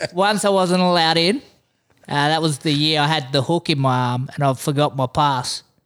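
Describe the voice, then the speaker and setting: A man with an Australian accent and a fairly high pitch speaks at a moderate pace with ordinary pitch variation and very even loudness, in a very clean recording with a silent background. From Western Australia (Exmouth). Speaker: fishing podcast host. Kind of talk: casual chat.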